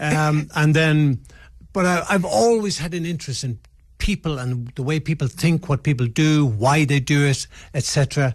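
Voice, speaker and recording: Against a quiet background, a man with an Irish accent and a fairly high pitch sounds somewhat breathy, speaking at a fairly slow pace with ordinary pitch variation. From Ireland. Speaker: retired football referee. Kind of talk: radio interview. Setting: radio studio.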